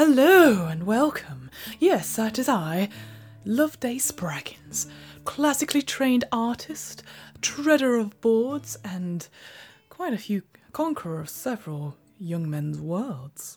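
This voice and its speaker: Faint music plays behind a woman whose fairly high-pitched voice shows very wide pitch swings and big swings in loudness. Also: fairly slow pace. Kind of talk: comic overacting, grand theatre diva. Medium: game stream. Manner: pompous, flirtatious, self-admiring.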